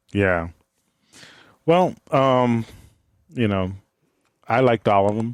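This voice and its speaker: With a dry, close sound with no echo, a man speaks at a very slow pace and medium pitch, his intonation lively and his pauses long and frequent. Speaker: podcast co-host. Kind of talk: casual chat. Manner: halting, stumbling over words.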